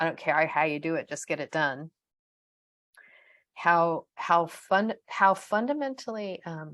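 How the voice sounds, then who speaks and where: A woman with an American accent speaks at a fairly slow pace in a fairly low pitch, against a quiet background. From USA. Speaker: podcast co-host, organisational change consultant. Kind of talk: casual podcast conversation.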